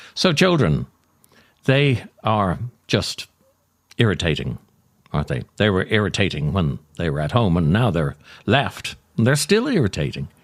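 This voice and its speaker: With vocal fry and a fairly low pitch, a man talks at a moderate pace, swinging very widely in pitch and leaving long, frequent pauses. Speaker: actor, writer. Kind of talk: comic essay reading.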